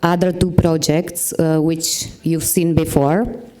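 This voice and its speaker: Amid noticeable background noise and audible room echo, a woman speaks with a non-native accent. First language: Czech. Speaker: podcast creator and marketing manager. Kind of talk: conference presentation.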